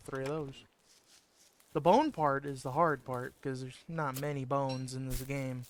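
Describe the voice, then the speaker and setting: A soft-spoken man with a fairly high pitch. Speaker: video game streamer. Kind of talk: gameplay commentary.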